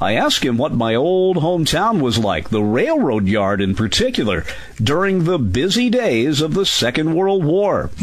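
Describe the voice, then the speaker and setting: At a moderate pace, a man speaks with very wide pitch swings, his voice carrying audible room echo over noticeable background noise. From Southern Indiana, US. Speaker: radio host. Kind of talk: scripted narration.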